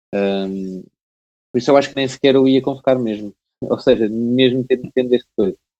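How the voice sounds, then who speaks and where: Speaking at a fairly quick pace with fairly even intonation, a man has an unremarkable speaking voice. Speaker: sports podcast host. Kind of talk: casual chat.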